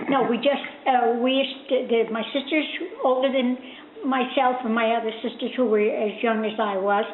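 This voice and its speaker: A woman with an American accent speaks at a moderate pace and a fairly high pitch, keeping her intonation fairly even. Audible room echo and noticeable background noise are present. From US Northeast, Newark, New Jersey. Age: 80s+. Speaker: interviewee grandmother. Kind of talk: oral history interview. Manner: halting, many hesitations.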